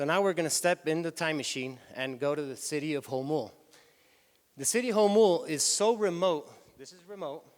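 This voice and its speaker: With a Spanish accent, a man talks at a fairly quick pace in a fairly high voice for a man, his intonation lively. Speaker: tour company executive. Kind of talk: conference talk. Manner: halting.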